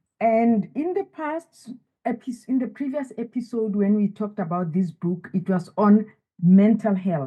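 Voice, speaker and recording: Somewhat breathy and medium-pitched, a woman speaks fairly slowly with lively intonation. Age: 70s. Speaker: wellness author. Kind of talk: interview.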